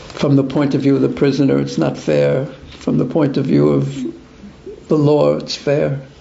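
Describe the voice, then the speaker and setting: A man with an American accent speaks with long, frequent pauses, with audible room echo and noticeable background noise. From US, New York (Brooklyn). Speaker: spiritual teacher. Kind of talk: religious class with Q&A.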